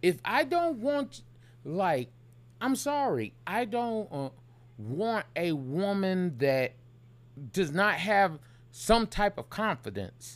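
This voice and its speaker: A man speaks loudly at high pitch with very wide pitch swings, on a very clean recording with a silent background. His pace is very slow, with long, frequent pauses. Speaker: podcast co-host. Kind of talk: casual chat.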